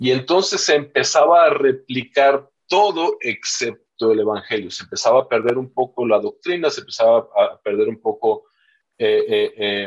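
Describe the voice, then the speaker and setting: A man speaking at a fairly slow pace. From Chiapas, southern Mexico (Yajalón). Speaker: pastor. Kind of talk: interview about church life. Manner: halting, many fillers and repetitions.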